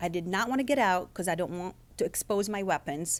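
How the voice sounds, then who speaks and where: A woman with a slight non-native accent is heard on a very clean recording with a silent background. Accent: slight foreign. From Lebanon. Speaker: author and former intelligence agent. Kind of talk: author talk. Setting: event with live audience.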